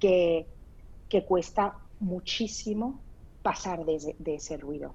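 A woman's dark, mellow voice, very slow in pace, with ordinary pitch variation. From Spain. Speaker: startup founder. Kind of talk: interview. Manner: halting.

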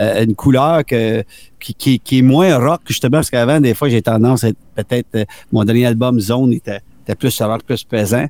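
The recording is very clean, with a silent background and a dry, close sound with no echo. A man with a plain, everyday voice speaks at a moderate pace and medium pitch, with ordinary pitch variation. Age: 50s. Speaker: musician. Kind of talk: casual interview.

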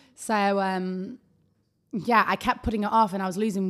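A plain, everyday voice from a woman at medium pitch with fairly even intonation. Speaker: social media influencer. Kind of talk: casual chat.

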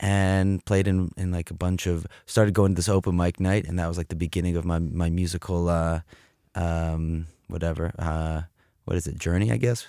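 A man with an American accent and a dark, mellow tone speaks at a very deep, low pitch and a moderate pace, recorded very cleanly with a silent background and a dry, close sound with no echo. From US Midwest, Cleveland, Ohio. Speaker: musician and graphic designer. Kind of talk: casual chat. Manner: animated.

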